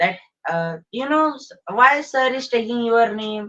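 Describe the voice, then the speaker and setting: Her voice sits high in pitch. The woman talks at a moderate pace. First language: Marathi. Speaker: English learner. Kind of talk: group discussion.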